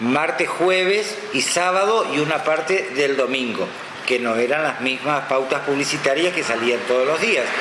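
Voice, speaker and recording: Over noticeable background noise and audible room echo, a man speaks at a fairly slow pace with a fairly high pitch and very even loudness. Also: lively intonation. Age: 60s. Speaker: veteran radio announcer. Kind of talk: interview. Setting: radio studio.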